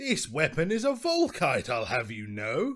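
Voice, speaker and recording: A man performs a put-on character voice with a high pitch. He speaks at a moderate pace. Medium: read story. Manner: breezy, self-assured.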